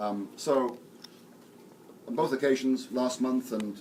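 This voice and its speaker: A man speaks fairly slowly with an English accent, his pitch moving in an ordinary way. Some room echo can be heard. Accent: English (RP). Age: 60s. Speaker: theology professor and priest. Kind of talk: lecture. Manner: halting, with many fillers and repetitions.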